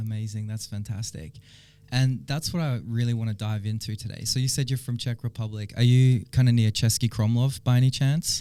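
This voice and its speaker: A man's dark, mellow voice at a fairly quick pace, on a very clean recording with a silent background. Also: medium pitch for a man, fairly even intonation. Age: 30s. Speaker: podcast host. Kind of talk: interview.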